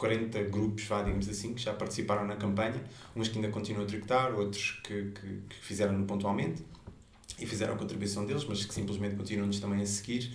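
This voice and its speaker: Over noticeable background noise and audible room echo, a man talks at a fairly quick pace with a fairly low pitch and monotone, flat intonation. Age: 30s. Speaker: environmental activist. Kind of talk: interview.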